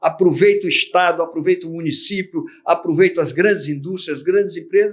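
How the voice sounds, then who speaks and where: A man's high-pitched voice holds a fairly even intonation. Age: 60s. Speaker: retired army general and businessman. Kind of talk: interview conversation.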